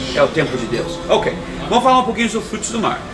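A man talks. Clear music sounds behind him. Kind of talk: casual talk to camera. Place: cafe.

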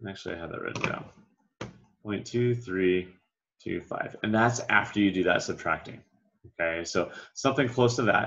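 This man has a low pitch and a fairly bright tone. His pitch varies in an ordinary way. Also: moderate pace.

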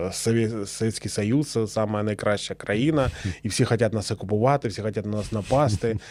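In a very clean recording with a silent background, a man speaks at a fairly low pitch and a moderate pace with fairly even intonation. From eastern Ukraine, Luhansk region. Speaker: war veteran, former partisan. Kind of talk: interview testimony. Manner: halting, with many fillers.

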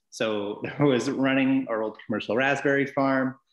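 In a British Columbian accent, a man speaks at a moderate pace with fairly even intonation. The background is quiet, with audible room echo. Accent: Canadian (British Columbia). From Vancouver Island, British Columbia, Canada (Cumberland). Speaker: distillery worker; guest. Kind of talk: casual interview. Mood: friendly, relaxed. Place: home room. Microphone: video call.

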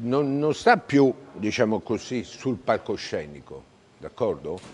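A man speaks at a fairly slow pace. Light background noise can be heard. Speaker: former mayor and politician. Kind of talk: interview answer. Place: street. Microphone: lapel.

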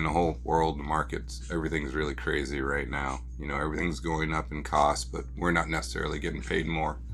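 A man's very deep, low voice at a moderate pace with ordinary pitch variation, over light background noise. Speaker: toy car collector channel host. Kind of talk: casual vlog chat. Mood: relaxed, slightly concerned. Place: home room.

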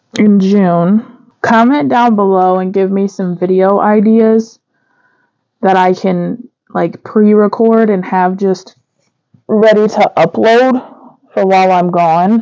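With a dark, mellow tone, a woman speaks very slowly and with fairly even intonation. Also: quiet background. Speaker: budgeting vlogger. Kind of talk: casual vlog chat. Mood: relaxed, light laughter. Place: home room.

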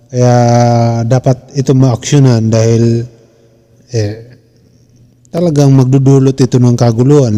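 This man has a medium pitch and a dark, mellow tone. He speaks at a moderate pace with fairly even intonation. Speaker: commentator host. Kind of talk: heated commentary. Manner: scolding, emphatic.

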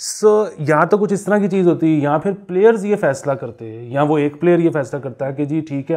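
A man with a dark, mellow tone talks at a moderate pace with lively intonation and hardly any pauses. His loudness swings widely against a quiet background. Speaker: podcast guest or commentator. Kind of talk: conversational commentary. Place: home room. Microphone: lapel.

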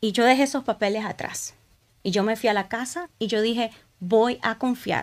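Ordinary pitch variation and a moderate pace in a woman's fairly high voice. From Honduras. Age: 40s. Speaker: church ministry leader; podcast guest. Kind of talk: testimony. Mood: emotional, reflective personal story. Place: studio. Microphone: studio mic.

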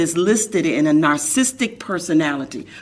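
A woman's voice at a moderate pace, with very wide pitch swings. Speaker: talk show host. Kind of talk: interview. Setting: studio. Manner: animated. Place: studio.

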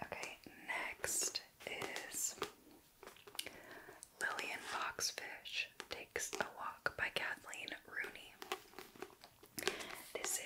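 Whispering and soft-spoken, a woman goes at a very slow pace with long, frequent pauses against loud background noise. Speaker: book reviewer. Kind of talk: casual vlog chat. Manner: soft ASMR whisper, close to mic. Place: home room.

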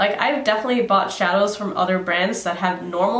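The voice belongs to a woman. Room echo can be heard around it. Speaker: beauty vlogger. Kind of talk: casual vlog chat. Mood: chatty, lightly amused. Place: home room.

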